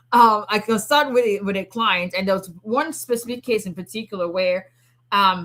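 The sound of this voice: At a moderate pace, a woman speaks with a bright, sharp tone and lively intonation.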